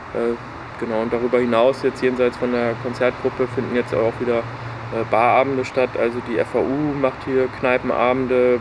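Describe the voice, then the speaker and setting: A man at medium pitch with a monotone, flat delivery and moderate pace over noticeable background noise. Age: 20s. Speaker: concert organizer and student. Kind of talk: casual interview. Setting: outdoors in a garden.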